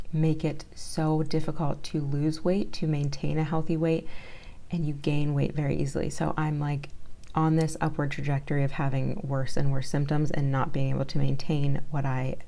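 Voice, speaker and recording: A woman speaks softly at a very deep, low pitch. Her intonation is monotone and flat. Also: moderate pace. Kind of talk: casual talk to camera. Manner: soft-spoken.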